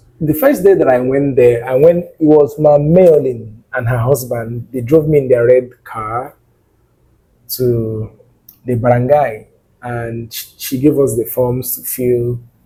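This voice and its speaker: A man speaks in a dark, mellow, somewhat breathy tone with fairly even intonation. His loudness swings widely. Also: medium pitch for a man, fairly slow pace. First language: not English. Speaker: nursing student vlogger. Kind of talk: personal vlog monologue. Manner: expressive.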